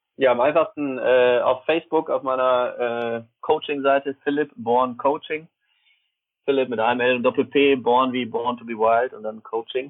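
Medium-pitched man, an unremarkable speaking voice, fairly even intonation, big swings in loudness. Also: moderate pace. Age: 30s. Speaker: tennis coach and mental trainer. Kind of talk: interview.

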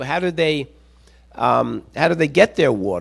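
At a moderate pace, a man talks with vocal fry and lively intonation on a very clean recording with a silent background. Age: 60s. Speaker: visiting preacher and pastor coach. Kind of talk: sermon. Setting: church with congregation. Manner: halting, many fillers.

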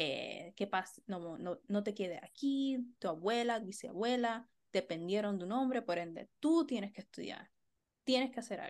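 In a plain, everyday voice, a woman speaks at a fairly slow pace with lively intonation. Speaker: podcast co-host, art therapist and educator. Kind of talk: casual chat.

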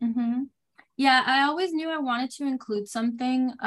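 Recorded very cleanly against a silent background, a woman speaks at a moderate pace in a Puerto Rican accent. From Puerto Rico. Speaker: children's author, former teacher. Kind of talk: interview.

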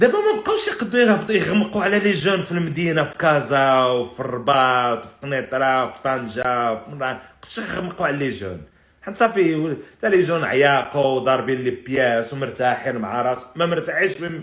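A man talks at a moderate pace with lively intonation and a fairly high pitch. His loudness swings widely, and he hardly pauses at all. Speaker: podcast host. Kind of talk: casual live-stream monologue. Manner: animated.

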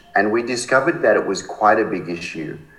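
A man with an Australian accent at a moderate pace, with audible room echo and noticeable background noise. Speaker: charity founder. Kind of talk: interview.

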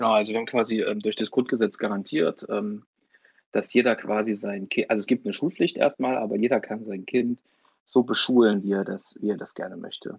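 At a fairly quick pace, a man with a medium pitch talks with fairly even intonation, the sound dry and close with no echo against a quiet background. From Thuringia, Germany (Weimar area). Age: 20s. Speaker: youth party politician and law student. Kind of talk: podcast interview. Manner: hesitant, many filler sounds.

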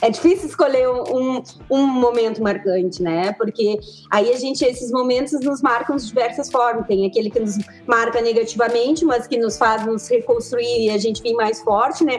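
Noticeable background noise runs under a woman's fairly high voice. She keeps a moderate pace with ordinary pitch variation. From southern Brazil, Pelotas. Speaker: physical education teacher. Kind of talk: casual chat.

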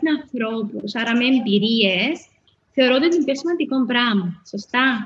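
A woman talks at a fairly slow pace in a Cypriot accent. Her pitch is high. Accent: Cypriot Greek. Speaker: spa owner. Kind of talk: interview. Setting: live stream.

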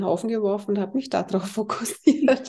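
A woman speaks in a dark, mellow tone that is somewhat breathy. Her intonation is lively. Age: 50s. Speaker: healer. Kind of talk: interview.

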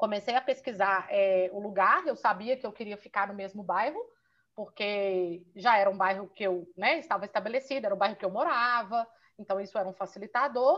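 At a fairly quick pace, a woman with a normal speaking voice talks at medium pitch with ordinary pitch variation. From Minas Gerais, Brazil. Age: 30s. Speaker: physiotherapist and Pilates business owner. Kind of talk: interview.

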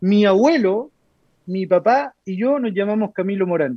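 A man's high-pitched voice at a moderate pace, with ordinary pitch variation and a dry, close sound with no echo. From Chile, Santiago (Lo Prado). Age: 30s. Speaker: politician. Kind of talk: interview.

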